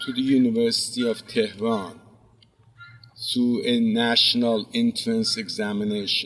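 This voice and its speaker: A man talks fairly slowly, his intonation fairly even, while noticeable background noise sits behind him. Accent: Azerbaijani. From Iran (Zanjan, northwest). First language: Azerbaijani Turkish. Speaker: professor. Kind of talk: commencement speech.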